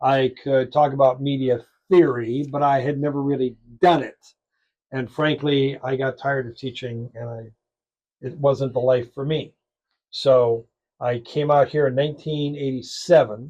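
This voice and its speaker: A man with an American accent has a dark, mellow tone and monotone, flat intonation. He leaves long, frequent pauses, and his loudness swings widely. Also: medium pitch for a man, moderate pace. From US Midwest (suburban Chicago). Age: 70s. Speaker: radio talk show host. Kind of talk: interview. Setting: radio studio booth.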